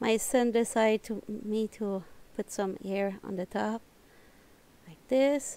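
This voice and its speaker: A woman with a non-native accent talks at a very slow pace in a fairly high pitch. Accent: non-native English accent, self-noted. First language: French. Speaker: knitting tutorial creator. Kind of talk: tutorial. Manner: halting, searching for words.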